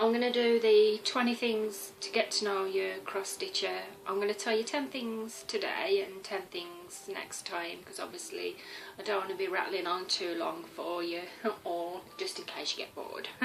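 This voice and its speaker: A woman with a Birmingham accent at a moderate pace, amid audible room echo and noticeable background noise. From West Midlands, Birmingham area. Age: 30s. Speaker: cross-stitch vlogger. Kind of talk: casual vlog talk.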